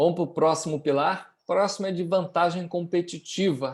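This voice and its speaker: A man talks at a high pitch in a flat monotone, at a moderate pace. The recording is very clean, with silence behind him. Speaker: business teacher. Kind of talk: lecture.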